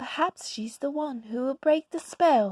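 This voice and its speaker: A high-pitched, female-sounding put-on character voice at a moderate pace. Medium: read story. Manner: warm, gentle.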